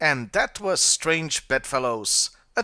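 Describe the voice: Ordinary pitch variation in plain reading aloud.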